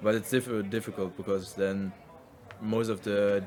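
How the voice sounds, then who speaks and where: Speaking in a monotone with flat intonation, a man with a strong non-native accent keeps a fairly low pitch and a moderate pace. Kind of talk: casual podcast conversation.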